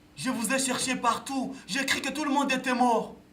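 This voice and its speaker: Noticeable background noise sits behind this man. He speaks at an extremely high pitch and a very slow pace. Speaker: puppeteer and storyteller. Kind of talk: theatre performance.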